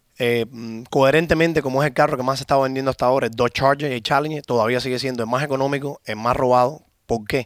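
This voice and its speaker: A man speaks very fast in a Cuban accent with fairly even intonation. The recording is very clean, with a silent background. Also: medium pitch for a man. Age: 30s. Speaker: car shop owner. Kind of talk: interview.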